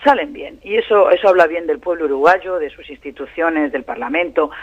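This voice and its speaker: A man's high-pitched voice at a fairly quick pace. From Spain. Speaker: professor and Middle East analyst, translator of Arabic. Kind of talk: radio interview. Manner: fast.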